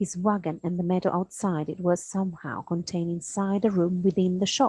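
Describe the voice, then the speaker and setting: A soft-spoken, somewhat breathy woman at medium pitch and a moderate pace, dry and close with no echo. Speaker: primary school teacher. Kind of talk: reading aloud. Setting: at home, in dressing gown. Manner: halting.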